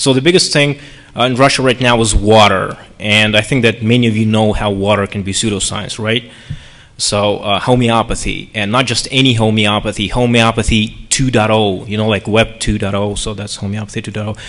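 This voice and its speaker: The speech moves at a moderate pace with fairly even intonation. It is an unremarkable speaking voice. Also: man, fairly low pitch for a man. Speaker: panelist. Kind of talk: lecture. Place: hall. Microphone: podium.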